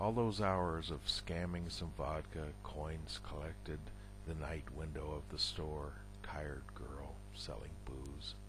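Over noticeable background noise, a man with a very deep, low pitch speaks at a very slow pace with very wide pitch swings, the sound dry with no echo. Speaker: poet. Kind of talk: poetry reading, read aloud in a measured, deliberate spoken-word style. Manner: slow, halting and deliberate, with pauses and self-corrections. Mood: somber, reflective. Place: home room. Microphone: headset.

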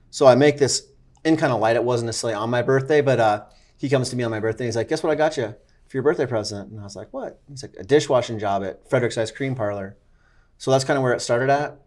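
Against a quiet background, a man talks very fast with big swings in loudness and ordinary pitch variation. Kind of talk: interview answer. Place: cafe. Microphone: lapel.

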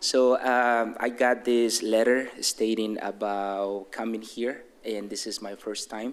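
A man with a Mexican accent, medium pitch, monotone, flat intonation, a fairly slow pace and hardly any pauses. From Mexico City. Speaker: resident speaking at public comment. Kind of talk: public comment at council meeting. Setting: city council chamber. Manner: halting, unprepared.

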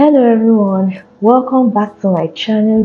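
A woman at a moderate pace with fairly even intonation over light background noise. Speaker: content creator. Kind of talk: casual vlog chat, product review intro. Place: office. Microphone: lapel.

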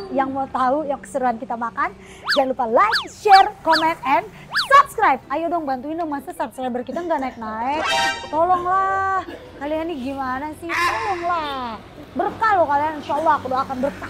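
A woman speaks at a moderate pace. Music is playing in the background. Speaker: food podcast host. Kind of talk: casual vlog chat. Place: cafe. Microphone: studio mic.

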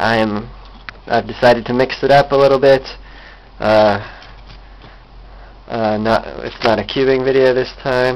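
A man speaks in a monotone, flat intonation at a moderate pace, with long, frequent pauses and noticeable background noise. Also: medium pitch for a man. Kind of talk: casual talk to camera, tech demo. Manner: rambling, hesitant.

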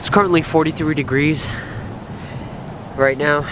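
Over clear background noise, a man speaks with little pitch movement.

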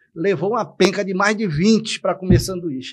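A man talks at a high pitch. The background is quiet. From Salvador, Bahia, Brazil; Bahia, Brazil. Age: 60s. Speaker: local political candidate; interview guest. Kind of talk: political interview. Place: studio. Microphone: studio mic.

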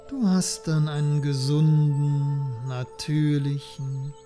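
Music plays behind a man with a fairly high voice. His tone is calm and soothing, and his pace is very slow. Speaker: hypnotherapist. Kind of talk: guided sleep hypnosis. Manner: calm, slow, soothing.

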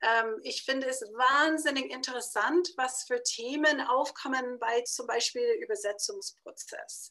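Against a quiet background, a woman with a high, bright, sharp voice projects it loudly, her intonation lively and her pace very slow. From United States. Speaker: publisher. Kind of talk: interview. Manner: halting, many fillers. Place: home room. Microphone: webcam.

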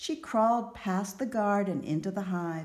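The text is read plainly aloud, with ordinary pitch variation.

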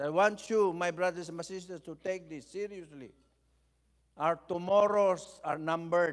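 Big swings in loudness, fairly even intonation and a moderate pace against a quiet background. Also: man, high pitch for a man. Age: 70s. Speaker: bishop and preacher; bishop, preacher. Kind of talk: sermon. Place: church. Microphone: podium.

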